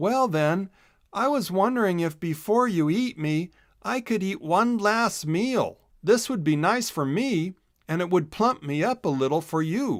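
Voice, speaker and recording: A man puts on a character voice, high in pitch, at a moderate pace. The recording is very clean with a silent background. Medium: read story.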